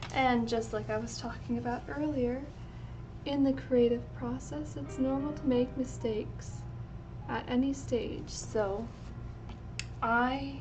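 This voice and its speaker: A woman talking at a fairly slow pace, with long, frequent pauses, audible room echo and noticeable background noise. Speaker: fashion illustrator. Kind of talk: livestream art tutorial chat. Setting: livestream.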